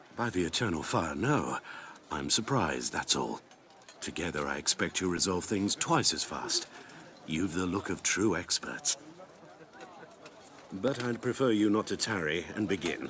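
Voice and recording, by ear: Using a put-on character voice, a man speaks fairly slowly with long, frequent pauses, a low pitch and a fairly bright tone. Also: lively intonation.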